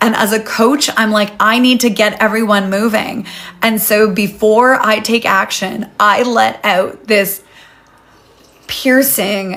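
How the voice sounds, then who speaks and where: Noticeable background noise sits behind a woman speaking at a very slow pace. Her pitch is fairly high and her intonation fairly even. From Canada. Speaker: life coach and retreat host. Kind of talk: live session with story time.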